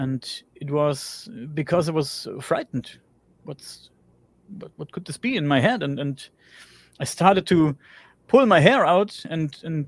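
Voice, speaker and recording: With a German accent, a man speaks at a fairly high pitch and fairly slow pace. His pitch variation is ordinary, and the sound is dry and close with no echo. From Germany. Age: 40s. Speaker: interview guest, builder and podcaster. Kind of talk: personal testimony in interview.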